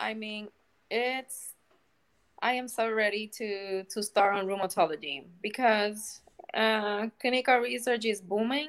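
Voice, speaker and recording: Speaking in a Spanish accent, a woman uses a fairly high pitch and fairly even intonation at a fairly slow pace. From Puerto Rico. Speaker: clinical research coordinator. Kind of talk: casual interview. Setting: video call. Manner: halting.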